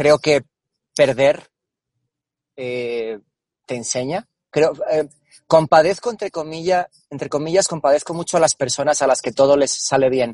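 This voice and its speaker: A man's fairly high voice at a fairly slow pace, with ordinary pitch variation, long, frequent pauses and a dry, close sound with no echo. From Spain, Cáceres (Extremadura). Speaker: marketing and innovation executive. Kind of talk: interview. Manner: halting, repeats words.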